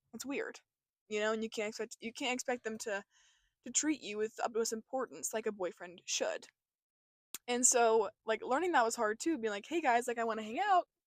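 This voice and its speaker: Fairly quick and animated, a woman talks with lively intonation. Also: fairly high pitch for a woman, very clean recording, silent background. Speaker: vlogger. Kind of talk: casual vlog chat. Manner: fast.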